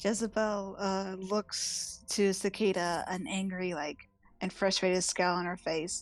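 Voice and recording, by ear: Natural reading aloud with rather level intonation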